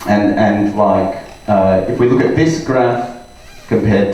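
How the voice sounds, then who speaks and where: Lively intonation carries a very slow delivery over noticeable background noise. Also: man. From Australia. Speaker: data scientist and trainer. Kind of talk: conference talk to live audience.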